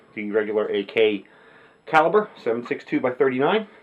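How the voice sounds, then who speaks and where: Noticeable background noise runs under a man who talks at a moderate pace. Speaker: firearms hobbyist. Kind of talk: casual talk to camera.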